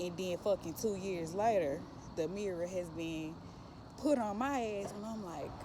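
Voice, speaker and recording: A woman speaking at a fairly slow pace amid audible room echo and noticeable background noise. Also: medium pitch for a woman, ordinary pitch variation. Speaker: spiritual vlogger. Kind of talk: casual monologue.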